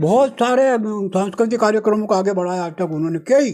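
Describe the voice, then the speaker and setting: The man's high voice has lively intonation and moves at a moderate pace. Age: 80s+. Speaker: folk theatre artist. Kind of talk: interview. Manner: halting.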